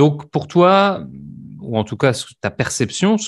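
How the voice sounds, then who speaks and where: Very slowly and with lively intonation, a man speaks against a quiet background. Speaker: language teacher. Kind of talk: interview questions, casual conversation.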